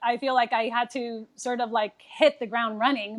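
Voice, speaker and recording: Speaking in a Spanish accent, the speaker keeps a moderate pace. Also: woman. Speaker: nurse. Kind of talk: casual chat.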